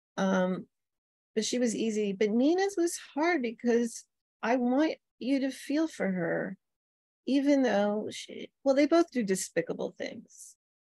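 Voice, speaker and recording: A woman's high, dark and mellow voice with an American accent and very wide pitch swings, dry and close with no echo. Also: fairly slow pace. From New York City. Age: 60s. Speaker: novelist. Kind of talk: author Q&A. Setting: video call.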